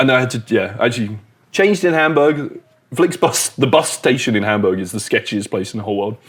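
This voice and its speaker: A man speaks very fast with a British accent. His pitch sits in the middle range, and his intonation is lively. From UK. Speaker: comedian. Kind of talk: casual chat. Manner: animated.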